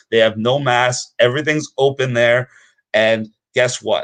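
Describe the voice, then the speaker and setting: This man sounds animated, his pitch medium. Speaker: activist promoting private schooling. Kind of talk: impassioned advocacy speech. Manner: fast.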